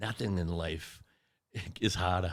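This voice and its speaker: The man's pitch is very deep and low. His recording is very clean, and the background is silent. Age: 60s. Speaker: martial arts instructor and podcast host. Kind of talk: casual interview chat.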